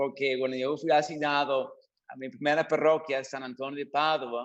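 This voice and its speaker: A man speaks with an English accent. His intonation stays fairly even. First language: English (speaking Spanish). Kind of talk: radio interview. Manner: halting, repeats words.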